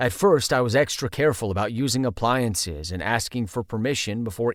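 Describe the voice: This is plain reading aloud. The text is read straight through.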